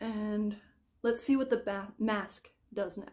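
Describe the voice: A woman speaks slowly at a medium pitch. Her tone is slightly mellow and her intonation fairly even.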